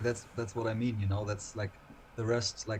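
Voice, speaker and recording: Fairly low in pitch, a man with a German accent talks at a moderate pace in a monotone, flat intonation. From Germany, Lower Saxony. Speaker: singer in a dark-scene band. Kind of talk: casual interview chat. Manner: halting, repeats words.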